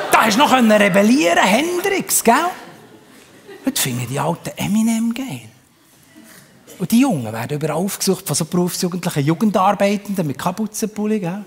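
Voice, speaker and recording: A high-pitched man with a Bernese accent speaks at a moderate pace, pitch swinging very widely. His speech has long, frequent pauses over noticeable background noise. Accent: Bernese Swiss German. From Bern, Switzerland. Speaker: comedian. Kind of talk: live stage comedy. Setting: live theatre audience.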